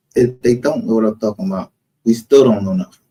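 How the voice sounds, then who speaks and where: Close and dry with no echo, a man's medium-pitched voice sounds dark, mellow and somewhat breathy, with lively intonation. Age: 50s. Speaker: live streamer, true crime commentator. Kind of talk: casual livestream rant. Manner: animated.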